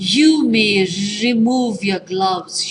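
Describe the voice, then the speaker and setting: A woman's put-on, robotic character voice at a medium pitch. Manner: shouting, commanding.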